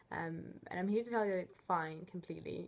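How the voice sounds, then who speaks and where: In an Italian accent, a woman talks with a fairly low pitch. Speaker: student coordinator. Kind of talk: tutorial. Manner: hesitant, many fillers.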